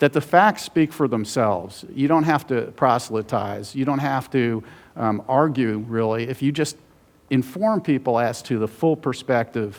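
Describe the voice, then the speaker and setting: A man talks in a plain, everyday voice at medium pitch. His pitch variation is ordinary and his pace moderate. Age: 60s. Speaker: author and journalist. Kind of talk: conference talk.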